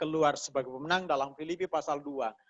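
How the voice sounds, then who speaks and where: On a very clean recording with a silent background, a man speaks at a fairly quick pace with a fairly high pitch and ordinary pitch variation. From Mamasa, West Sulawesi, Indonesia. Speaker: pastor. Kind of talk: sermon. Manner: conversational, colloquial.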